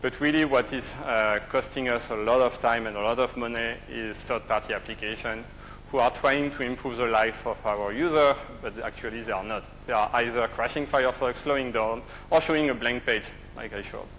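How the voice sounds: A man talks at a fairly quick pace with a fairly bright tone. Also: medium pitch for a man, ordinary pitch variation.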